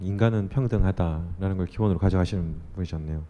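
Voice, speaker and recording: A man with a very deep, low pitch and a dark, mellow tone talks at a fairly quick pace. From Busan. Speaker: podcast host. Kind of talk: interview. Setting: stage with audience.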